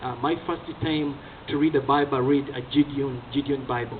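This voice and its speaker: Over noticeable background noise, a man speaks with a Ugandan accent. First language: Ugandan language (not English). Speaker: evangelist. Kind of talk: testimony. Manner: hesitant with fillers.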